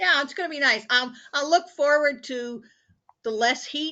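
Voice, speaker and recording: The speaker is a woman. She talks with a Midwestern US accent. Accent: US Midwest. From US Midwest (Indianapolis, Indiana). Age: 70s. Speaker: support group participant, cancer patient. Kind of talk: casual chat.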